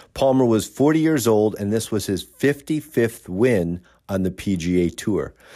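A man's dark, mellow tone with lively intonation, on a very clean recording with a silent background. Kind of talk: almanac announcer narration, reading dated golf history facts. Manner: steady, even, formal, briskly factual.

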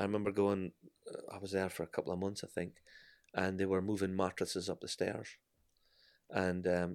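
A man talks at a very fast pace with long, frequent pauses. His very deep, low pitch stays monotone and flat. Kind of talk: testimony, interview.

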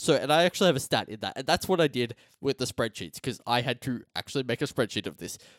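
Recorded very cleanly against a silent background, a man with an Australian accent speaks in a dry, close sound with no echo. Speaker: sports podcast host. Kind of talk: casual chat.

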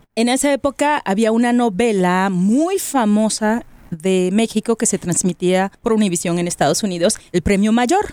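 A woman with a dark, mellow tone talks at a fairly slow pace with lively intonation, very even loudness and hardly any pauses. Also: fairly high pitch for a woman. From Mexico, Monterrey. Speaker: podcast host, radio presenter. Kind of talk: casual chat.

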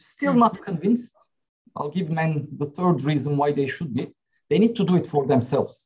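A man speaks with a Turkish accent at a moderate pace. His pitch is fairly high, and his intonation is lively. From Turkey. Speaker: company CEO. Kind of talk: panel discussion.

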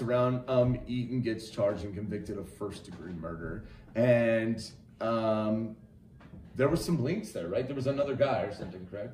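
Against noticeable background noise, a man with an American accent talks at a moderate pace and medium pitch, his loudness swinging widely. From Wyoming, US. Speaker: podcast co-host. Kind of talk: casual chat about true crime.

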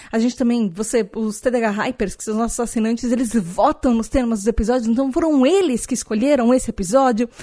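A woman with a normal speaking voice, fairly high in pitch with ordinary pitch variation, at a fairly quick pace with hardly any pauses, against a quiet background. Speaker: podcast host. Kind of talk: casual solo podcast talk.

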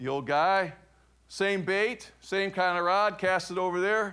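In a very clean recording with a silent background, a man with an American accent speaks in a bright, sharp tone. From US Midwest (Cleveland, Ohio). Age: 50s. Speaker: pastor. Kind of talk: sermon.

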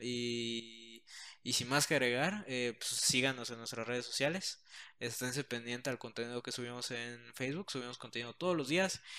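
Speaking at a moderate pace in a Mexican accent, a man has a bright, sharp tone and ordinary pitch variation. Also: medium pitch for a man. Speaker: podcast co-host. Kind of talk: casual chat.

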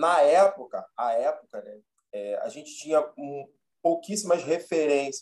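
A man speaks at a fairly slow pace. His loudness swings a great deal. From Rio de Janeiro, Zona Norte. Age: 30s. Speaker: history teacher and actor. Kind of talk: casual interview.

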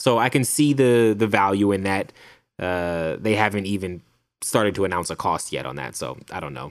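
Moderately paced, an ordinary speaking voice captured on a very clean recording with a silent background. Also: man, fairly low pitch for a man, lively intonation, big swings in loudness. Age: 30s. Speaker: film podcast co-host. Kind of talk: casual chat.

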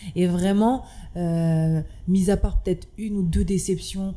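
Speaking very slowly, a woman uses a fairly low pitch and fairly even intonation. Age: 20s. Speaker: restaurant owner. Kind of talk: casual interview.

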